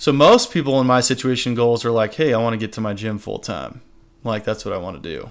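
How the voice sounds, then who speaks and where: Talking at a very fast pace, a man holds a medium pitch. His pitch variation is ordinary. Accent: American. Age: 20s. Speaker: strength coach and gym owner. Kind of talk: casual interview chat.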